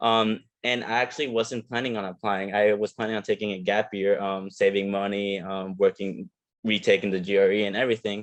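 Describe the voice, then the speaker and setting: Fairly quick and in a monotone, flat intonation, a man speaks at a fairly low pitch. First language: not English. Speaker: physical therapy student. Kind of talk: panel discussion.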